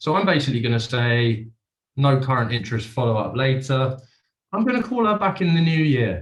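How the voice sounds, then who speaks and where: A man's medium-pitched, somewhat breathy voice at a moderate pace. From UK. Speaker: sales executive doing live cold call demo. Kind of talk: live demonstration with cold calls.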